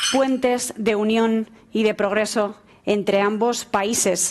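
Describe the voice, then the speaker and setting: This woman has an ordinary speaking voice, fairly high in pitch, with fairly even intonation. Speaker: moderator, tech journalist. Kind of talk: panel moderation. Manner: formal.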